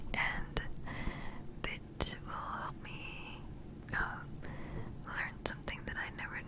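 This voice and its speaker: Over loud background noise, a soft-spoken woman is whispering. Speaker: ASMR creator. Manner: close soft whisper into mic. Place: home room. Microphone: handheld.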